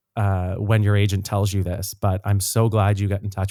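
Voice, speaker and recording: On a very clean recording with a silent background, a man with a Canadian Maritime accent speaks at a very fast pace in a fairly low pitch, his tone dark and mellow and his intonation monotone and flat. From Nova Scotia, Canada (Dartmouth). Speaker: singer and actor. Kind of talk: podcast interview.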